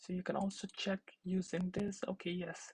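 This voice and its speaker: The voice is somewhat breathy at a moderate pace, with a dry, close sound with no echo. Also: woman. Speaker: teaching assistant. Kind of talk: tutorial.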